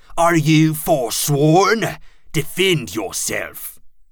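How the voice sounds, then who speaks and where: A shrill, put-on character voice from a man, fairly high-pitched and very slow. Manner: screeching.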